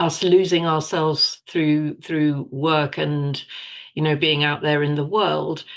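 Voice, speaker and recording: Against a quiet background, a woman with a normal speaking voice talks at a fairly low pitch, with fairly even intonation and a fairly slow pace. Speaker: podcast co-host. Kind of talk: podcast host conversation.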